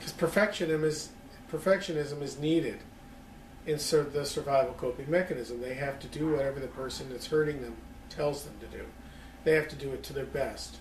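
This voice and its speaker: A man talks at a fairly quick pace with fairly even intonation. Audible room echo and light background noise are present. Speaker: lecturer on psychology. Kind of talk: lecture. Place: home room. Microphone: camera far.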